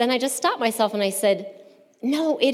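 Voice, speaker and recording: A woman's voice is heard against noticeable background noise. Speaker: churchgoer giving testimony. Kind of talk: testimony.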